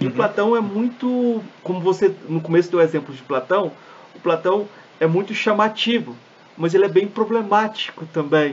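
Moderate pace and ordinary pitch variation from a man, over noticeable background noise. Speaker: podcast host. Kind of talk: interview conversation.

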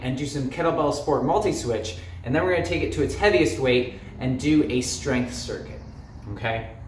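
Light background noise and audible room echo around a man speaking at a moderate speed. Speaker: fitness coach. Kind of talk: tutorial. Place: gym.

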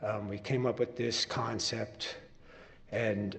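Against noticeable background noise and audible room echo, a man with an American accent talks at a fairly slow pace with fairly even intonation. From New Jersey, Long Branch (Jersey Shore). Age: 60s. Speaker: musician, public commenter at council meeting. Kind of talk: public comment at city council meeting. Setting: council chambers. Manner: halting, with fillers.

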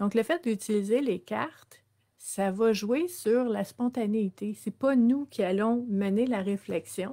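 Against a quiet background, a woman with a Quebec accent speaks very slowly in a fairly high voice with a dark, mellow tone and ordinary pitch variation. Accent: Québécois French. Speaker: social worker and wellness livestream host; personal growth coach. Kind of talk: live-streamed self-development talk. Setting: live stream with viewer comments. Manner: hesitant, many fillers. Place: home room. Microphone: webcam.

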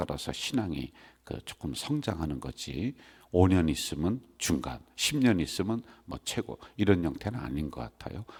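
A man with a very deep, low voice talks fairly slowly, his pitch swinging very widely, in a very clean recording with a silent background. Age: old. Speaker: senior pastor. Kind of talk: sermon. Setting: church.

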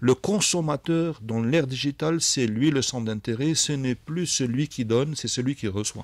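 Speech runs at a moderate pace with hardly any pauses and ordinary pitch variation. The sound is dry with no echo. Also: man. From Algeria. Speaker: tech company executive; radio guest. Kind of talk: radio interview. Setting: live radio studio. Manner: hesitant, many fillers. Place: studio. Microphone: studio mic.

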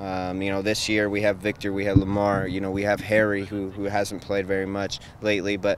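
With light background noise and a dry sound with no echo, a man speaks at a fairly low pitch and a moderate pace. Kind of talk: interview answer. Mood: calm, thoughtful.

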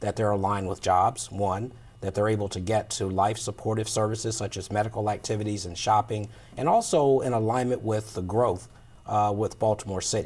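A man with an unremarkable speaking voice and a fairly low pitch talks at a fairly quick pace. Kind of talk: interview answer. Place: studio. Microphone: lapel.

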